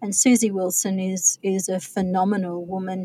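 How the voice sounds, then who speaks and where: A woman speaks at a medium pitch in a dark, mellow tone that is somewhat breathy. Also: dry, close sound with no echo. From Australia, remote outback (NT/Queensland border). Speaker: author. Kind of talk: interview.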